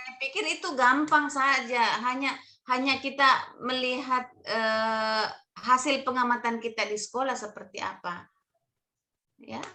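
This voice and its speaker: A woman raises and projects her high voice in a stern, bright, sharp tone, speaking fairly slowly with ordinary pitch variation and big swings in loudness. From Bugis region, South Sulawesi. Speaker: training mentor. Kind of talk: online mentoring session. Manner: loud, may sound stern.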